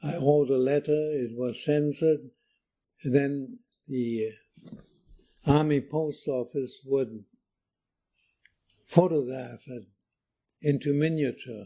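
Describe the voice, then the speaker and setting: In a German accent, a man with a dark, mellow tone and a fairly high pitch speaks at a very slow pace, with ordinary pitch variation and long, frequent pauses. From Germany. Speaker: war veteran. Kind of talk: oral history interview. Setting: library.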